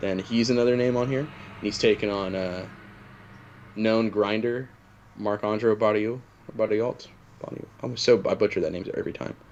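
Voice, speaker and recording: A man talks at a medium pitch with an Oklahoma accent. His intonation is fairly even, with long, frequent pauses. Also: moderate pace. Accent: Oklahoma twang. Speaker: MMA podcast co-host. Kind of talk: casual chat.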